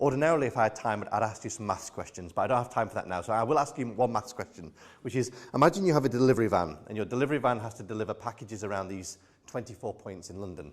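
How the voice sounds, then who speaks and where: Talking at a very fast pace with a British accent, the speaker uses lively intonation and big swings in loudness. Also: man, medium pitch for a man. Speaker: AI expert keynote speaker. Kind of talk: keynote talk.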